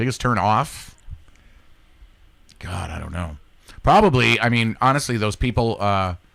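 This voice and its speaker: A man with an American accent and medium pitch talks at a fairly slow pace, with lively intonation, long, frequent pauses and big swings in loudness. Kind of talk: casual chat. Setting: studio.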